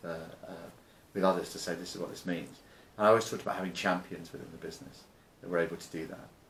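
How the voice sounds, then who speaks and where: Pitch varies in an ordinary way, with audible room echo around the voice. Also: man. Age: 60s. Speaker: business founder and investor. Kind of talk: interview. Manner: halting, many repetitions and fillers.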